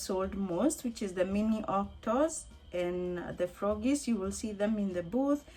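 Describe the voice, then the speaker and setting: Music plays in the background while a woman speaks. She talks at a fairly slow pace with ordinary pitch variation. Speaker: crochet vlogger. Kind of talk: casual vlog talk to camera. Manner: conversational with hesitations.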